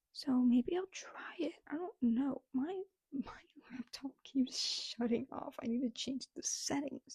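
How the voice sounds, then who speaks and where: Soft-spoken and dark, mellow in tone, the voice moves at a fairly slow pace with ordinary pitch variation. The sound is dry and close, with no echo. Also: woman, high pitch for a woman. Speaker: book vlogger. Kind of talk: casual chat.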